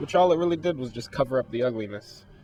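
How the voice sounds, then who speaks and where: A man's pitch varies in an ordinary way as noticeable noise fills the background. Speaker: game reviewer. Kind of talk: video game review voiceover.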